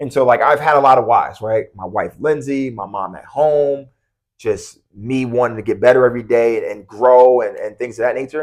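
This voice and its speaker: Against a quiet background, a man with an American accent has a plain, everyday voice at a medium pitch with fairly even intonation. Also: moderate pace. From US Northeast, Long Island. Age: 30s. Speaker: college basketball coach. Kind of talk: podcast interview. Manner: casual, many fillers.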